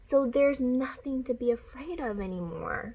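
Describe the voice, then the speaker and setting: In a put-on character voice, a woman speaks high-pitched in a calm, gentle tone. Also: moderate pace. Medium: read story.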